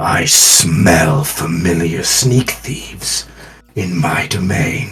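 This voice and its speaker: Using a put-on character voice, a man growls and rumbles at a very deep, low pitch. He speaks at a very slow pace. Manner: menacing, imposing.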